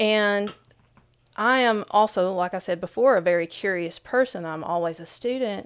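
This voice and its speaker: An Appalachian accent at a moderate pace, with ordinary pitch variation, in a very clean recording with a silent background. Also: woman, medium pitch for a woman. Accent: Appalachian, noticeable. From southeastern Kentucky, Appalachia. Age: 40s. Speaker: author and speaker. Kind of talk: interview conversation.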